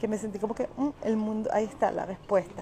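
With a Venezuelan accent, a woman speaks at a fairly quick pace over noticeable background noise. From Venezuela (Caracas). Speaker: social media influencer and wellness product seller. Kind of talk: casual live stream monologue. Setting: airport. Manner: animated. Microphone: quiet microphone.

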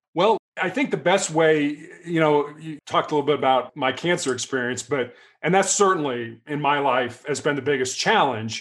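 A man talks in a fairly high pitch at a moderate pace, a normal speaking voice with ordinary pitch variation. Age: 60s. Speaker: author and former athlete. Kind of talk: casual interview.

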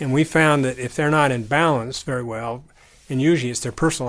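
A man with an American accent speaks very fast at a medium pitch. His intonation stays fairly even. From southern Utah. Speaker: retired consultant and podcast co-host. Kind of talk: casual chat.

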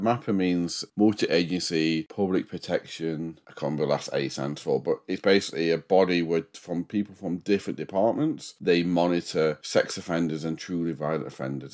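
A man's very deep, low voice with ordinary pitch variation, fairly quick and with hardly any pauses. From northern England. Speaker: true crime podcaster. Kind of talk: casual chat and true crime storytelling. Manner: mumbles.

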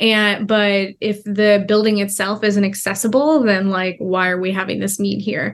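This woman speaks with an American accent in a normal speaking voice, at medium pitch and a moderate pace. Her intonation stays fairly even, with hardly any pauses. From United States (adopted at age two). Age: 20s. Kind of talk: interview. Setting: virtual call.

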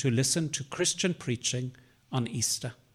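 A man speaks at a medium pitch with a somewhat breathy quality and ordinary pitch variation. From South Africa. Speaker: Jesuit priest and theology professor. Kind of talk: conversational interview.

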